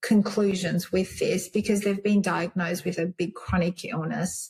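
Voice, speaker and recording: The speaker is a woman with a medium-pitched voice. Her pitch varies in an ordinary way. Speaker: naturopath and medical herbalist. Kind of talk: interview conversation. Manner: whispering briefly.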